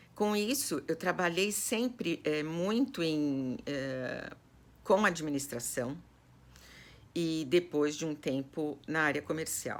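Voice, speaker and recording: A woman with a very deep, low pitch speaks at a very slow pace with lively intonation. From Brazil, São Paulo city (Zona Norte). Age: 60s. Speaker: personal organizer. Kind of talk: personal life story to online students. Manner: hesitant, many fillers.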